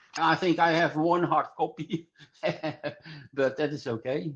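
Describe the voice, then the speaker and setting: The man's voice has vocal fry. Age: 70s. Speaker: hasher. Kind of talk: interview. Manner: halting.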